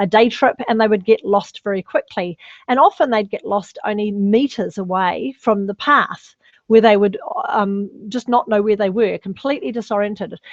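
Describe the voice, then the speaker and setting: A woman's fairly high voice at a fairly quick pace, with ordinary pitch variation and a dry, close sound with no echo. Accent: New Zealand. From New Zealand, North Island. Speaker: personal branding specialist. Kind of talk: webinar presentation. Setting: online webinar.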